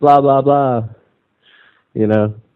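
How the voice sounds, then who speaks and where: A man with a Scottish accent and fairly even intonation. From Scotland. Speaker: activist caller on radio show. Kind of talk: casual chat. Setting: internet call. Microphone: connection dropouts.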